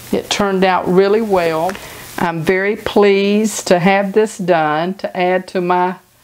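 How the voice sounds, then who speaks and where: Noticeable background noise runs under speech at a fairly slow pace with fairly even intonation. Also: woman. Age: 60s. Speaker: home cooking channel host. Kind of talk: cooking tutorial. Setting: home kitchen. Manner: casual, conversational.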